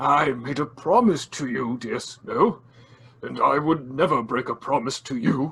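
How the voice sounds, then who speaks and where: A man speaks loudly in a put-on character voice, fairly high in pitch, at a moderate pace. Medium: audio drama. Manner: polite, old-fashioned, soft-spoken.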